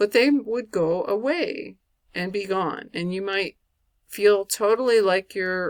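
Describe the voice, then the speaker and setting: A woman speaks at a fairly slow pace and medium pitch with ordinary pitch variation. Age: 60s. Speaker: video blogger living with multiple sclerosis. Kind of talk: casual talk to camera. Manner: conversational, with hesitations.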